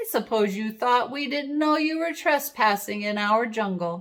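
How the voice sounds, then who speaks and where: A woman's put-on character voice, fairly high-pitched, raised and projected, at a moderate pace. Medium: read story. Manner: smug, menacing.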